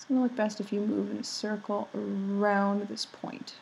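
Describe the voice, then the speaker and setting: Soft-spoken, a woman talks at a moderate pace with a fairly high pitch. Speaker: artist making drawing tutorials. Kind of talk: tutorial. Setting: home, roommates asleep. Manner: soft-spoken, speaking quietly.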